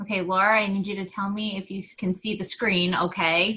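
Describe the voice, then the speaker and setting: Pitched in the medium range, a woman speaks in an unremarkable speaking voice. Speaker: team coach leading a training call. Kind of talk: online team training. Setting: video call. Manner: casual, many fillers.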